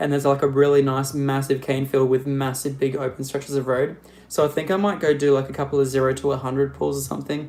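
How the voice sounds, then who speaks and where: A man with an Australian accent, a fairly high pitch, monotone, flat intonation and a very fast pace. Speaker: car youtuber. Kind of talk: live stream Q&A. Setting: live stream. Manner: casual, rambling with fillers.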